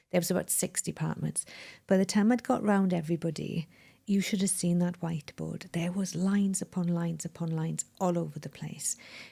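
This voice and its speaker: A woman's fairly low, somewhat breathy voice in a Welsh accent, dark and mellow in tone, fairly quick and fairly even in intonation, on a very clean recording with a silent background. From Wales. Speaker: mind management coach. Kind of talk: interview conversation.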